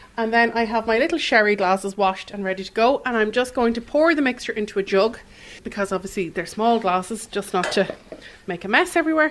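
Very fast, lively Irish-accented speech over noticeable background noise. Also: woman, fairly high pitch for a woman. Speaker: cookery teacher. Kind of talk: cooking demonstration. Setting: studio.

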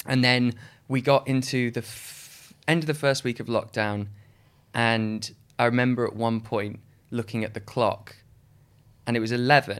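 In a very clean recording with a silent background, a man with a medium pitch uses fairly even intonation and long, frequent pauses. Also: moderate pace. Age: 30s. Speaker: stage actor. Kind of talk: casual interview chat.

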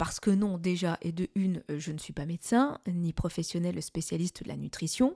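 A woman's fairly low voice has a dark, mellow tone and is somewhat breathy. The sound is dry and close with no echo. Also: ordinary pitch variation, moderate pace. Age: 40s. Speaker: podcast host, medical secretary. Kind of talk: casual monologue. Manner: conversational with hesitations.

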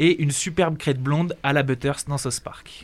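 Here a man uses a normal speaking voice. It sits fairly high in pitch, with fairly even intonation. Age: young. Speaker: radio producer. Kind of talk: scripted segment.

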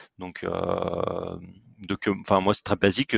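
A man speaks at a very slow pace with a fairly low pitch. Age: 30s. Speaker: sports event partnership entrepreneur. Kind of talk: podcast interview. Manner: halting, frequent repetitions.

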